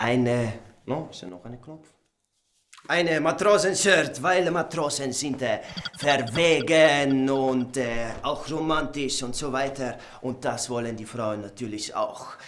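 Light background noise sits behind a man speaking at a very slow pace. His tone is calm and serious, with big swings in loudness. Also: fairly high pitch for a man, ordinary pitch variation. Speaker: comedian. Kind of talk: comedy sketch monologue. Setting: studio, showing clothes to camera with an assistant. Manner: mock-calm, slow and faux-serious, playing up a clumsy pseudo-Spanish persona.

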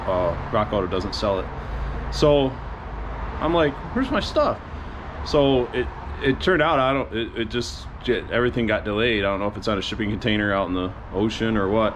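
Fairly low-pitched male speech at a fairly quick pace, with ordinary pitch variation and noticeable background noise. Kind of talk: casual vlog chat. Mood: relaxed, mildly frustrated. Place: garage. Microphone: phone near.

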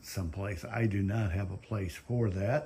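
A man talks at a fairly low pitch, somewhat breathy. His intonation stays fairly even. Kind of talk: casual vlog chat. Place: garage. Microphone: phone near.

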